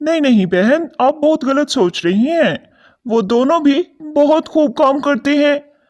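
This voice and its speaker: In a cartoonish character voice, the speaker talks at a high pitch and a moderate pace. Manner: earnest, polite.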